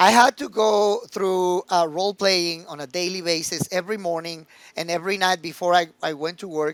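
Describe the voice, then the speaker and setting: Recorded very cleanly against a silent background, with a dry, close sound and no echo, a man speaks at a moderate pace in a high pitch with fairly even intonation. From Mexico, Mexico City. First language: Spanish. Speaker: recruitment executive. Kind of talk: podcast interview. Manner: halting with repeated words.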